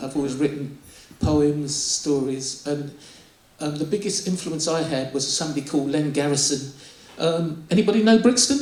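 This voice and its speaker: Ordinary pitch variation at a moderate pace, with audible room echo and noticeable background noise. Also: man, fairly high pitch for a man. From southern England (Bromley, Kent), Nigerian-born. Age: 60s. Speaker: poet. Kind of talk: interview. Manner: halting.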